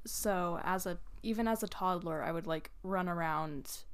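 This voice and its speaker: A woman's normal speaking voice at medium pitch, fairly slow and with fairly even intonation. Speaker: podcast co-host. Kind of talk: casual chat.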